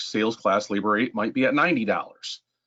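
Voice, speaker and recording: Against a quiet background, a man speaks at a fairly low pitch. His tone is bright and sharp. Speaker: software trainer. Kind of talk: webinar tutorial. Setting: online meeting. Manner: fast.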